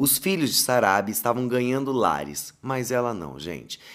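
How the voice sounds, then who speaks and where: This is a man's voice. The recording is very clean with a silent background. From Paraná countryside, Brazil. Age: 30s. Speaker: podcast host and content creator. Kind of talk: storytelling monologue. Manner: animated.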